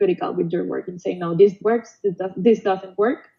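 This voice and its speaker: A woman speaks with a Spanish accent at a medium pitch. Her intonation stays fairly even. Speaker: past student award winner. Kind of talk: panel Q&A webinar. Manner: halting.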